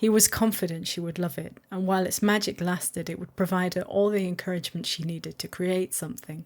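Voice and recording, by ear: Someone is reading aloud in a natural voice, keeping a fairly even intonation.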